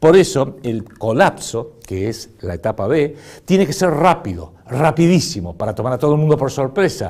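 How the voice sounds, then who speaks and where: On a very clean recording with a silent background, a man with a fairly high pitch and vocal fry talks at a moderate pace, his pitch swinging very widely. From Argentina. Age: 60s. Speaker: political commentator. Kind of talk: political commentary monologue. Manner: animated.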